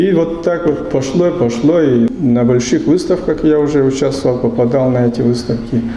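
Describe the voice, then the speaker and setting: There is noticeable background noise and audible room echo. A man at medium pitch talks at a moderate pace with ordinary pitch variation. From Udmurtia, Russia. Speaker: book illustrator and painter. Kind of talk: talk to students.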